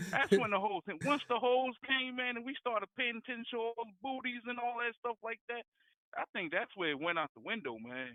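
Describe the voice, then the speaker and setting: Speaking in a New Jersey accent at a fairly quick pace, a man uses an extremely high pitch with ordinary pitch variation. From New Jersey, Jersey City. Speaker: caller. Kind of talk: casual phone debate. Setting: phone call. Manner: halting, repetitive.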